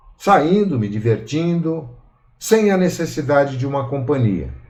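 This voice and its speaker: A man's somewhat breathy voice with lively intonation, at a fairly slow pace, with audible room echo. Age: 60s. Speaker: study group participant. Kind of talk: personal testimony.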